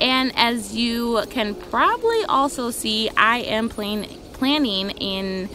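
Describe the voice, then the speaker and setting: There's a woman talking. Behind her, the background noise is noticeable. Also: dry sound with no echo. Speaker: planner hobby vlogger. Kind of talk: casual vlog chat. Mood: relaxed, cheerful, giggly. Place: garden. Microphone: phone near.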